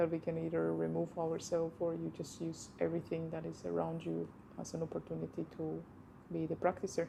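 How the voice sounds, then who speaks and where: A woman speaks at a fairly quick pace with a non-native accent. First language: not English. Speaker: movement practitioner. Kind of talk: casual chat.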